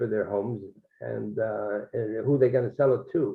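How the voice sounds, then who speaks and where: A man with vocal fry at a fairly slow pace, with ordinary pitch variation. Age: 80s+. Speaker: discussion participant. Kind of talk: group discussion. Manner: halting, many fillers.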